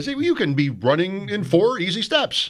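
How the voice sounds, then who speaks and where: A man uses a put-on character voice at a high pitch. His pitch swings very widely at a moderate pace. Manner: cheerful, glib, reassuring.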